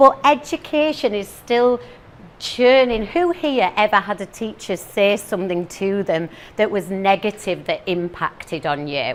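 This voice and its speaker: Speaking fairly slowly with a northeast English accent, a woman of medium pitch makes very wide pitch swings over noticeable background noise. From northeast England. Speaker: teacher and motivational speaker. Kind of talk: talk to a live audience. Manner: animated.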